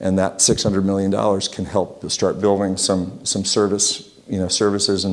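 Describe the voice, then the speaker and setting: Speaking fairly quickly with an American accent, a man keeps a monotone, flat intonation and hardly any pauses, with noticeable background noise. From Utah. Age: 60s. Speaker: local business owner and civic speaker. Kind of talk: talk to a community group. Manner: halting, many restarts.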